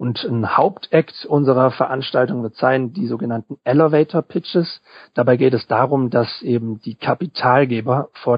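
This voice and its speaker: Hardly pausing, a man speaks at a moderate pace with medium pitch and ordinary pitch variation. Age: 20s. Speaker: student event organizer. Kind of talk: interview. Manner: hesitant, with filler sounds.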